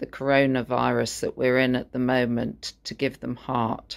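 Over a quiet background, a woman speaks at a fairly slow pace. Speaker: interviewer. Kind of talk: interview. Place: home room.

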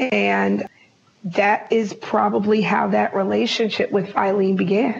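Noticeable background noise sits under a woman's voice. She speaks at medium pitch with monotone, flat intonation. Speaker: business professor and researcher. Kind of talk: interview conversation.

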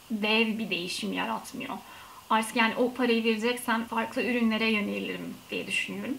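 Over light background noise, a woman talks at a moderate pace in a fairly high voice. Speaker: beauty vlogger. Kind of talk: casual vlog review. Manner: soft-spoken, not loud; hesitant, many fillers. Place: home room. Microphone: camera placed far away.

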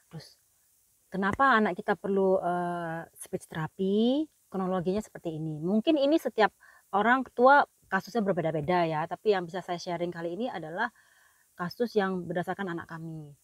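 A woman with a plain, everyday voice speaks at a fairly quick pace in a medium pitch, with ordinary pitch variation and big swings in loudness, in a dry recording with no echo and a quiet background. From Indonesia. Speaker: vlogger and parent; parent vlogger. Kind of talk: casual vlog talk. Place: car. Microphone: phone near.

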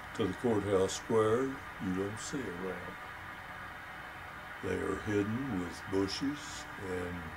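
A man with an American accent speaks at a very slow pace, fairly low in pitch with ordinary pitch variation. Long, frequent pauses break his speech as music plays in the background. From Texas, Crosbyton. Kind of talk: interview answer. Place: home room.

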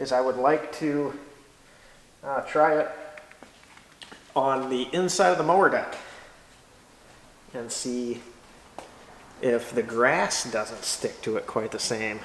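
With audible room echo and light background noise, a man speaks at a very slow pace with long, frequent pauses and ordinary pitch variation. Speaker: tractor owner. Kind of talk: casual tutorial commentary. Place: garage. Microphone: camera far.

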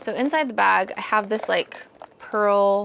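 A woman's very slow speech over light background noise. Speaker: vlogger. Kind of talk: casual vlog chat. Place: home room. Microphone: lapel.

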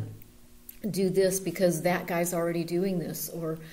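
Fairly low-pitched woman's voice over noticeable background noise. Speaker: seminary alumna and staff. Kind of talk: interview answer.

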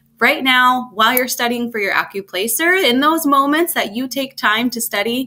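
A woman speaks at a high pitch in a bright, sharp tone with ordinary pitch variation. Her pace is moderate, with hardly any pauses. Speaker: test prep tutor. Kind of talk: tutorial. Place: home room. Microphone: webcam.

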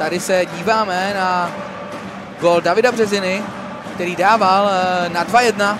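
A man speaks in a high voice with monotone, flat intonation. Long, frequent pauses break his speech, and background noise is noticeable. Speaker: sports commentator. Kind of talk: live-style sports commentary over match highlights.

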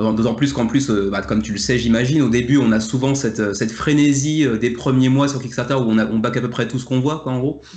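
With hardly any pauses, a man speaks at a very fast pace in a medium pitch. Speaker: board game video creator. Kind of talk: casual debate. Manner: energetic.

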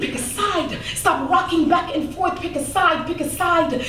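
Audible room echo sits on top of noticeable background noise in this clip. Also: woman. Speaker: spoken word poet. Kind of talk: spoken word poetry performance. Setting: live stage, comedy club audience. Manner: intense, emotional. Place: stage.

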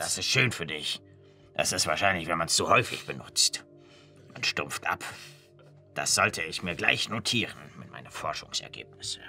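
Clear music plays in the background as a man uses a put-on character voice. He keeps a moderate pace with long, frequent pauses. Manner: pedantic, slightly lecturing.

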